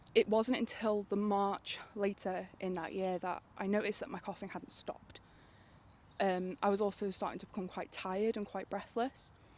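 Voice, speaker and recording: With monotone, flat intonation, a woman's medium-pitched voice proceeds at a moderate pace. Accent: North Welsh. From North Wales. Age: 20s. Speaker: cancer patient, university student. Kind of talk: interview testimony. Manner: hesitant, halting.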